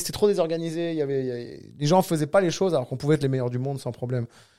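A man's dark, mellow tone, with ordinary pitch variation, is captured in a very clean recording with a silent background. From southern France, Cannes. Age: 40s. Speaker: jiu-jitsu coach and federation director. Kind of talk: casual interview.

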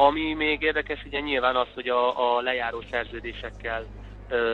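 A man at a fairly slow pace. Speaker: professional footballer and trainee lawyer. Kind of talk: casual interview. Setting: phone call. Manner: hesitant, many filler sounds.

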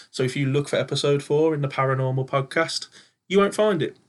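The speaker is a man with an English accent. His pitch is fairly high. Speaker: podcast host and paranormal investigator. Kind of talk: casual chat. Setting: home studio.

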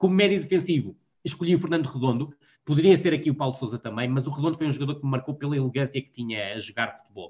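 At a very fast pace, a man speaks in a fairly high, somewhat breathy voice with ordinary pitch variation and big swings in loudness. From northern Portugal, Vila do Conde. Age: 40s. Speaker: football analyst and columnist. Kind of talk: casual interview. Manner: halting, frequent word repetitions.

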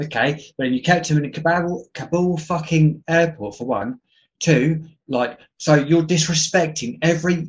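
In an English accent, a man speaks at a moderate pace, his fairly high pitch showing ordinary variation. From England. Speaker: podcast guest. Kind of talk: casual chat. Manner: animated.

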